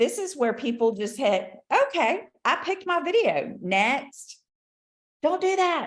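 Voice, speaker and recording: A woman speaks with very wide swings in pitch. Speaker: business consultant and trainer. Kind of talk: training presentation.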